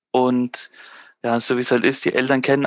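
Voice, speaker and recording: A man's medium-pitched, monotone voice with flat intonation at a fairly quick pace, on a very clean recording with a silent background. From Germany, Würzburg (Franconia). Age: 30s. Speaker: small business owner. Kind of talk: casual interview.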